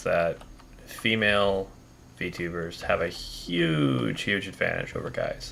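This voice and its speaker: A man's voice over noticeable background noise. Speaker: vtuber gaming streamer. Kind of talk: casual live stream chat. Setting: live stream.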